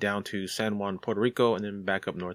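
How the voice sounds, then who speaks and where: A man's unremarkable speaking voice, fairly low in pitch. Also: very clean recording, silent background. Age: 40s. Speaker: podcast host. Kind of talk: reading aloud; casual chat.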